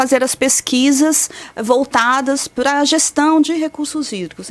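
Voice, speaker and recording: A woman speaks with a São Paulo accent. Her pitch is high. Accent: paulista. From São Paulo state, Brazil. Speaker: meteorologist. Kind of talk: radio interview. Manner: explanatory.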